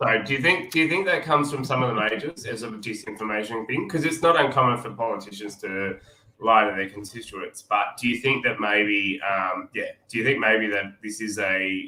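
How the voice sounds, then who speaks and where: With an Australian accent, a man speaks at a moderate pace in a medium-pitched voice, with lively intonation and hardly any pauses. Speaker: podcast co-host. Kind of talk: interview.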